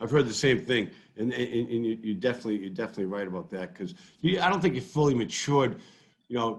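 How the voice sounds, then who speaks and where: Speaking at a very fast pace, a man keeps a medium pitch while his voice swings very widely in pitch. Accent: Boston. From Massachusetts, Brockton. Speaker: sports fan and social media personality. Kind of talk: casual chat. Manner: halting, many repetitions.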